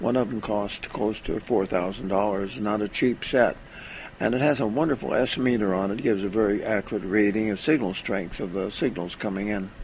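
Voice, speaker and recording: A man talks at a fairly quick pace in a fairly low voice with ordinary pitch variation. Noticeable background noise runs behind him. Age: 90s. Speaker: retired ham radio operator and electronics veteran. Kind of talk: recorded testimony. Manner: halting, with frequent fillers.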